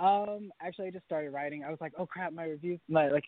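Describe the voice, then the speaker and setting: A man with an American accent has a normal speaking voice. He talks at a fairly quick pace with ordinary pitch variation. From North Carolina. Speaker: singer. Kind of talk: interview.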